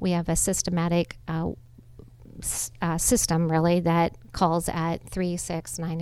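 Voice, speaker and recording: Heard on a very clean recording with a silent background, a woman with a plain, everyday voice talks at a moderate pace and a fairly low pitch. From Nebraska, US Midwest. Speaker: charity executive director. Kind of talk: interview on a facility tour. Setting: on location at a community center.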